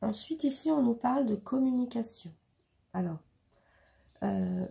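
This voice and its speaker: Fairly high-pitched with a dark, mellow tone, a woman talks at a fairly slow pace with lively intonation. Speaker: tarot reader. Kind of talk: tarot reading. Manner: halting, many fillers.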